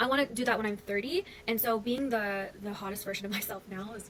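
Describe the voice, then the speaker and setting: A woman with a Canadian accent, fairly high in pitch with ordinary pitch variation, hardly any pauses, big swings in loudness and noticeable background noise. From Canada. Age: 30s. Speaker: content creator. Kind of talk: casual chat.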